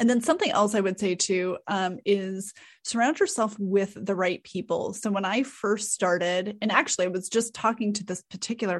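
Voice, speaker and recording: Against a quiet background, a woman with a plain, everyday voice speaks at medium pitch and a moderate pace with fairly even intonation. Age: 40s. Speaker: content strategist. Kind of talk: interview.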